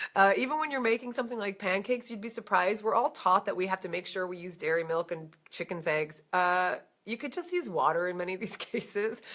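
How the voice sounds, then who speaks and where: A woman with an American accent talks at a very fast pace, her medium-pitched voice carried by lively intonation. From New Jersey. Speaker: vegan educator. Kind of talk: Q&A answering viewer questions. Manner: casual, conversational.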